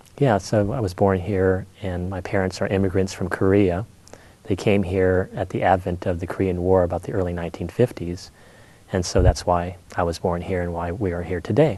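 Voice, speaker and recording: A man with an American accent, very deep and low in pitch, with a dark, mellow tone, fairly even intonation and fairly quick pace. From California, Monterey. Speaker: painter. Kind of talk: interview.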